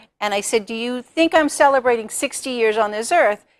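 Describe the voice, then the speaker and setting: A woman with a fairly high pitch has an unremarkable speaking voice and lively intonation. The recording is very clean, with a silent background and a dry, close sound with no echo. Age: 60s. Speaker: author and speaker. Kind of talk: TV talk show interview.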